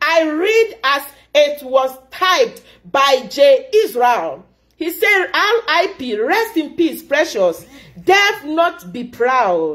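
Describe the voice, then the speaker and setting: A woman talks at a very slow pace in a high pitch, her voice making very wide pitch swings. The background is quiet. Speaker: commentator. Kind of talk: impassioned commentary vlog. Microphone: phone near.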